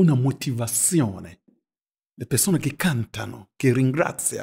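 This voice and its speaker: On a very clean recording with a silent background and a dry, close sound with no echo, a man with a non-native accent and a medium-pitched, somewhat breathy voice speaks at a very slow pace with lively intonation. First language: not Italian (speaking Italian). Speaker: pastor. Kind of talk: group Bible study discussion.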